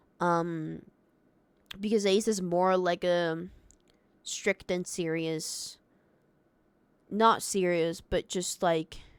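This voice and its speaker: A woman with a non-native accent speaks very slowly at a fairly low pitch, with long, frequent pauses. Her intonation is monotone and flat, on a very clean recording with a silent background. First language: not English. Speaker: Minecraft streamer. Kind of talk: casual livestream talk. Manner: halting, many fillers.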